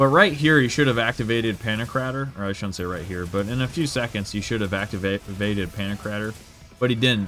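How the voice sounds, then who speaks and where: Over music in the background, a man with a fairly low pitch speaks at a very fast pace with ordinary pitch variation. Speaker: gaming YouTuber. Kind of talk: gameplay commentary. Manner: casual with fillers.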